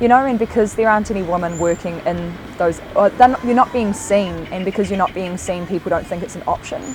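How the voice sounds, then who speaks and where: Over noticeable background noise, a woman with a New Zealand accent talks at a fairly quick pace, her medium pitch showing ordinary variation. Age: 20s. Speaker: building apprentice. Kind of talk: interview.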